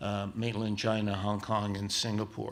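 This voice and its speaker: The voice, with an American accent, stays monotone and flat at a moderate pace. Room echo is audible. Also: man. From New York, South Bronx. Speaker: venture capitalist. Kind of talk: panel discussion.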